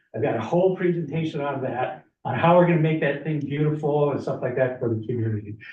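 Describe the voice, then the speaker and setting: Talking at a very fast pace in an American accent, a man uses a fairly high pitch with ordinary pitch variation. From northern Minnesota. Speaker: community presenter at county meeting. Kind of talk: public presentation.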